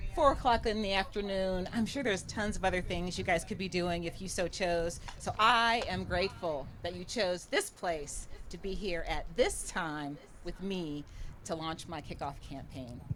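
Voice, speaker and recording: Audible room echo fills the space. Within it, a woman talks with ordinary pitch variation. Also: medium pitch for a woman, moderate pace. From rural Ohio, US Midwest. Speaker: political candidate. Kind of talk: campaign speech. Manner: casual, conversational.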